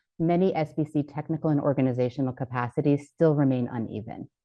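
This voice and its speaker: A woman with a very deep, low pitch talks at a very fast pace, using ordinary pitch variation. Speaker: panelist presenting a health program framework. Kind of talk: conference presentation.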